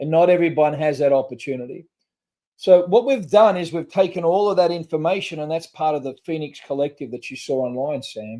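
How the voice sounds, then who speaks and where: A man with an Australian accent and a fairly high, dark, mellow voice speaks fairly quickly with ordinary pitch variation and big swings in loudness. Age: 60s. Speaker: trauma recovery nonprofit founder. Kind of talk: podcast interview. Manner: halting.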